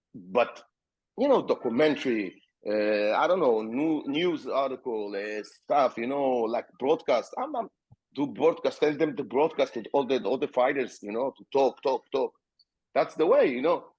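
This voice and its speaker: With an Israeli accent, a man speaks at a moderate pace. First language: Hebrew. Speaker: MMA fighter and promoter. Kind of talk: podcast interview.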